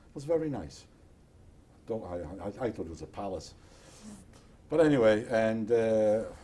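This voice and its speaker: A man with a dark, mellow tone speaks at a moderate pace, his intonation lively and his loudness swinging widely. Long, frequent pauses break his speech, and audible room echo surrounds it. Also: medium pitch for a man. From Poland. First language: Polish or Yiddish. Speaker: Holocaust survivor. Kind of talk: oral history interview.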